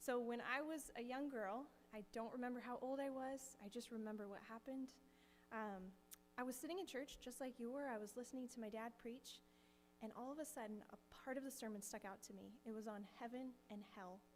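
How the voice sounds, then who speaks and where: A soft-spoken woman talks with an American accent at a fairly quick pace. Her pitch is high. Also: ordinary pitch variation. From US Pacific Northwest (Kirkland, Washington). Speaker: missionary. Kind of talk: testimony. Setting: church.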